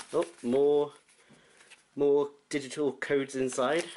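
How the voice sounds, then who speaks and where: This is a man speaking with a British accent. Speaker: gamer. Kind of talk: casual unboxing talk to camera.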